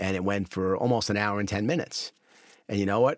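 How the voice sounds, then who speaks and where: Speaking at a very fast pace with an American accent, the voice comes through on a very clean recording with a silent background. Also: man. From US. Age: 50s. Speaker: advertising festival founder. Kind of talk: casual chat.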